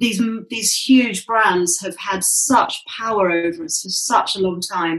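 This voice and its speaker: Speaking with a British accent, a woman talks at a medium pitch. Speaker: sustainable fashion activist. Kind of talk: casual interview conversation.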